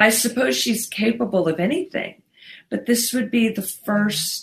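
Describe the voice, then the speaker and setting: A woman talks at a very slow pace with lively intonation and a somewhat breathy voice. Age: 40s. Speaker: podcast co-host. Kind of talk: casual chat.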